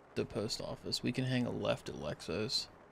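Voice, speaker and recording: A man talks at a moderate pace. Vocal fry runs through his voice. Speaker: gamer. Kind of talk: casual chat.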